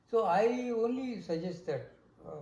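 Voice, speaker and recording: Against audible room echo, a man speaks at a very slow pace in a high voice with a dark, mellow tone. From India. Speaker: interviewee sharing life story. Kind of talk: oral history interview. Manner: halting.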